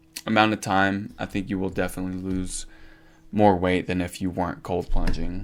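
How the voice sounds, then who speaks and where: This man has an unremarkable speaking voice, pitched fairly low, and he speaks at a moderate pace. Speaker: fitness content creator. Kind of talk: casual vlog ranking. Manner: casual with fillers.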